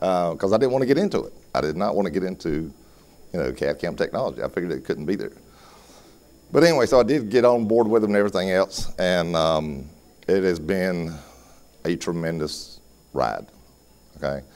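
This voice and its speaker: Talking at a fairly quick pace with long, frequent pauses, a man uses a very deep, low voice with vocal fry and lively intonation. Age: 60s. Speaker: dental lab owner and technician. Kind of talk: lecture. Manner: casual, frequent okay fillers.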